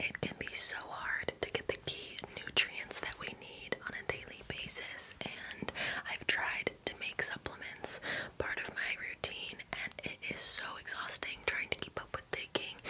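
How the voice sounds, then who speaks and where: Whispering from a woman, fairly slow in pace, against noticeable background noise. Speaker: ASMR creator. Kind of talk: sponsor read. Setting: close-mic bathroom recording. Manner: whispered, soft, intimate.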